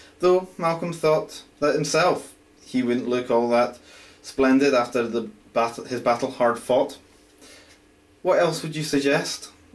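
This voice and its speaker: A man with a Scottish accent, fairly high in pitch with ordinary pitch variation, at a fairly slow pace with long, frequent pauses. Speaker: amateur writer. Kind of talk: reading aloud own fantasy story. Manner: halting, stumbling reading.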